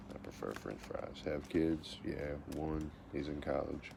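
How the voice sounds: The speaker has an American accent and vocal fry. The pace is fairly slow. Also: man.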